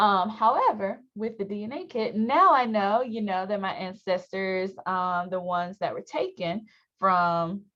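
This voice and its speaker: A woman with an American accent speaks at a moderate pace with ordinary pitch variation. The background is quiet. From US South, North Carolina. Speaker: university student affairs staff, workshop presenter. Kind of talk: workshop presentation.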